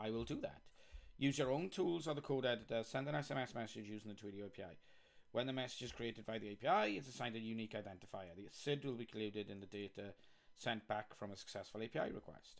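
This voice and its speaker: A very fast, animated man in a Welsh accent, medium-pitched, with lively intonation. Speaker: software developer live streamer. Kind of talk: live coding stream commentary. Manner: casual, chatty.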